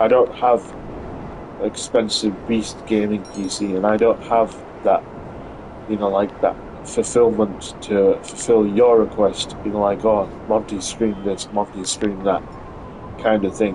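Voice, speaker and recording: A man with a British accent speaks at a fairly low pitch and a fairly slow pace, in a monotone, flat intonation. Long, frequent pauses break up his speech, and background noise is noticeable. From UK. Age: 30s. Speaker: gaming streamer. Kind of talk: casual live stream chat. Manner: halting, many fillers.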